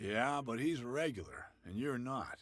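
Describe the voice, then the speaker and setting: Using a put-on character voice, a man sounds gruff at a medium pitch and a moderate pace. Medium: video game.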